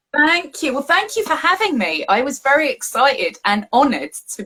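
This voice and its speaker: A woman with an English accent uses a raised, projected voice. Her tone is bright and sharp, with very wide pitch swings. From England, Southeast London. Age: adult. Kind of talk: casual chat.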